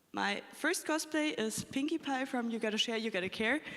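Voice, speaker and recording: A woman speaks at a fairly quick pace with lively intonation and a fairly high pitch. Noticeable background noise runs underneath. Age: 20s. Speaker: cosplayer panelist. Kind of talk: convention panel talk.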